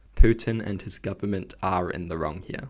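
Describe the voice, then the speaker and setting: A quiet man at a moderate pace with fairly low pitch. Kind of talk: opinion commentary to camera.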